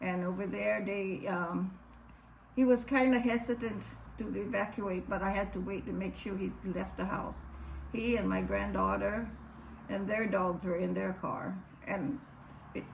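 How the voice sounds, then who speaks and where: A moderate pace in a Hawaiian accent. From Hawaii, Maui (Lahaina). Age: 80s+. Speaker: wildfire survivor. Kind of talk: testimony.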